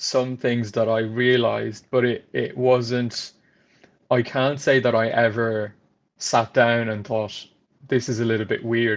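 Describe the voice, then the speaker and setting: A man with an Irish accent speaks in a monotone, flat intonation. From France. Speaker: trainee solicitor. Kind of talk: interview conversation.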